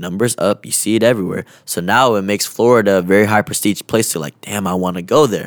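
A fairly low-pitched man with an American accent, ordinary pitch variation, a very fast pace, and a dry, close sound with no echo. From Washington state, Kent. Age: 20s. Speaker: content creator. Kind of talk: casual chat. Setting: studio.

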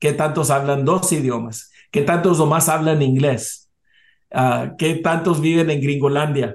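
A man's fairly high voice at a very slow pace, with fairly even intonation and very even loudness. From US South, South Texas border. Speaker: business association president. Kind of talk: interview. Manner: halting.

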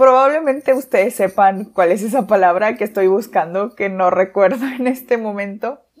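The voice moves at a moderate pace with ordinary pitch variation and hardly any pauses. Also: woman, medium pitch for a woman. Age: 20s. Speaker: podcast host. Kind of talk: casual monologue. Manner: halting.

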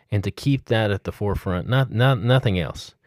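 A man with a Southern US accent talks at a medium pitch, the sound dry and close with no echo. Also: very clean recording, silent background. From Mississippi. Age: 40s. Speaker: student pastor. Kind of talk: podcast monologue. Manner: halting.

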